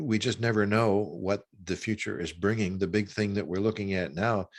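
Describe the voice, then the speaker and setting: On a very clean recording with a silent background, a man speaks at a fairly slow pace with a fairly low pitch and ordinary pitch variation. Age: 60s. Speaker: author and former minister. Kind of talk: interview conversation. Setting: long-distance call. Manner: halting, many repetitions.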